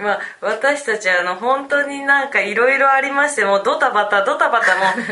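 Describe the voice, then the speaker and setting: Projecting a raised voice at a high pitch, a woman talks at a moderate pace with ordinary pitch variation, while room echo and noticeable background noise are audible. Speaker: podcast co-host. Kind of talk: casual chat. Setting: on location in a city.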